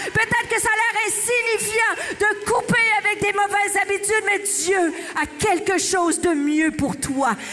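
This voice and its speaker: In a Quebec accent, a woman uses a raised, projected voice with an extremely high pitch and an animated tone, speaking at a fairly slow pace with hardly any pauses. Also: ordinary pitch variation, very even loudness. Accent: Québécois. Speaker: pastor. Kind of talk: sermon.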